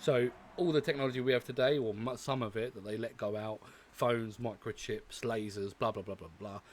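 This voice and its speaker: Fairly quick speech with a British accent. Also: man, medium pitch for a man, ordinary pitch variation, big swings in loudness. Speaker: reaction video creator. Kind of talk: casual vlog commentary. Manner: hesitant, many fillers.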